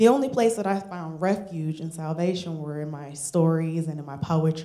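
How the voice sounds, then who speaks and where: A woman speaks at a moderate pace with a northern US accent, her pitch fairly low and her intonation fairly even. Her tone is dark and mellow, and audible room echo surrounds it. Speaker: storyteller. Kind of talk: live storytelling. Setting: stage with audience.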